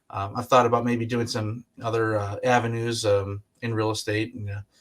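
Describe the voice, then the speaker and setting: Recorded very cleanly against a silent background, a man speaks at medium pitch and a moderate pace with monotone, flat intonation. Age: 30s. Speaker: real estate agent. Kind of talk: interview. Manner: halting, many fillers.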